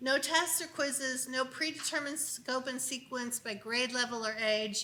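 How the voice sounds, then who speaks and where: A woman projects a raised, high-pitched voice at a moderate pace, keeping her intonation fairly even. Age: 60s. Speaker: unschooling speaker. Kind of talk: conference talk. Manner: conversational.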